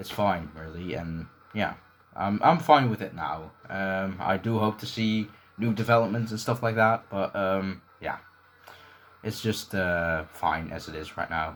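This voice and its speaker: Mumbling at a fairly slow pace, a man speaks in a fairly low voice with ordinary pitch variation. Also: big swings in loudness. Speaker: gaming YouTuber and leaderboard moderator. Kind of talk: Q&A video, casual monologue. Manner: hesitant, many fillers.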